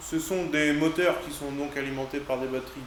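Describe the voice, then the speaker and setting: A man talks at a moderate pace with a fairly high pitch, and there is noticeable background noise along with audible room echo. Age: 20s. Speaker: cabinetmaker reviewing tools. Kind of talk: product review tutorial. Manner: hesitant, frequent filler sounds.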